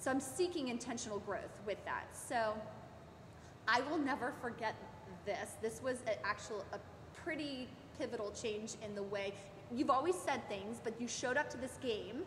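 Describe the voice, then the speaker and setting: A woman with an American accent speaks loudly at a high pitch and a moderate pace, with ordinary pitch variation and long, frequent pauses. Audible room echo and noticeable background noise surround her voice. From Maryland, US. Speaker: sports parent. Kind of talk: interview.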